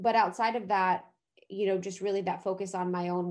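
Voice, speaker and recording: She speaks at a very fast pace with an American accent. The woman's pitch is fairly low. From US Midwest (Ohio). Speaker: podcast host and wellness entrepreneur. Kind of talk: casual chat.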